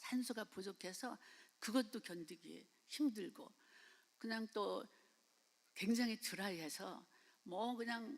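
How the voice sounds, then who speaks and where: A woman at a very slow pace, fairly high in pitch, with lively intonation. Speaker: missionary. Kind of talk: sermon. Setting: church. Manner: halting.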